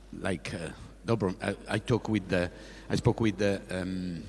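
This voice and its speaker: Very deep and low, a man's voice comes with an Italian accent. He speaks at a fairly slow pace. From Italy. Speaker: sports official, former track athlete. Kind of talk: press conference speech. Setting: press conference on stage. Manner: halting, many fillers and repetitions.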